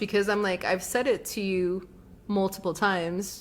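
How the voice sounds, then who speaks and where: Soft-spoken, a woman talks at a medium pitch and a moderate pace. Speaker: podcast co-host. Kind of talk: casual chat. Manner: soft consonants, unpopped T's.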